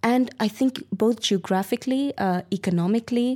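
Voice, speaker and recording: A woman speaks at a moderate pace in a plain, everyday voice, on a very clean recording with a silent background. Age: 20s. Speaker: student activist. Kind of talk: interview.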